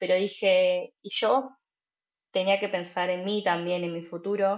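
A woman with a Rioplatense accent at a fairly slow pace. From Argentina, Buenos Aires. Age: 20s. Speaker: trainee care worker. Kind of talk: interview.

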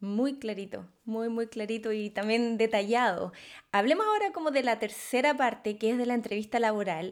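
A woman speaks in an unremarkable speaking voice, pitched fairly high, with ordinary pitch variation. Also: moderate pace. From Chile. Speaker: podcast host. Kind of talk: interview.

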